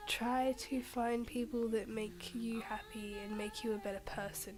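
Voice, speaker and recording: A soft-spoken woman talks at a fairly slow pace with fairly high pitch and fairly even intonation. Noticeable background noise and audible room echo surround her. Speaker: vlogger. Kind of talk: casual vlog monologue. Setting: at home.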